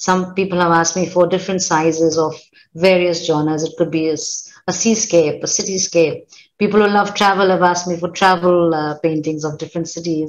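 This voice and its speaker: A woman's fairly low, monotone, flat voice at a fairly quick pace, against a quiet background. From Kenya. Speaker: artist and writer; interview guest. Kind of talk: interview. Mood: warm, reflective. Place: home room.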